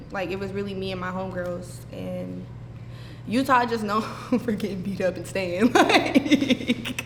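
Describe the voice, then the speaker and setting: Amid noticeable background noise, a woman speaks at a fairly slow pace with big swings in loudness. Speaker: reality show contestant. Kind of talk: casual interview.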